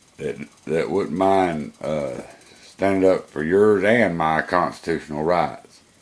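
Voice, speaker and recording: Very deep and low, a man's voice with an American accent moves at a very slow pace with ordinary pitch variation. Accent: Georgia Southern redneck. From Georgia, US South. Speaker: college student and vlogger. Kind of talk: personal video monologue. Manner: casual, hesitant with fillers.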